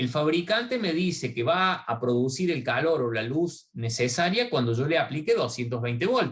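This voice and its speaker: His voice sits at a fairly high pitch for a man. The pitch swings very widely as he talks. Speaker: university lecturer. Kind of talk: online lecture. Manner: halting.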